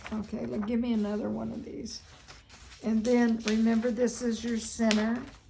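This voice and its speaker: A woman with a fairly high pitch speaks in a monotone, flat intonation at a moderate pace. The recording has audible room echo and noticeable background noise. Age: 80s+. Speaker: feng shui consultant. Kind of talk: consultation; casual chat.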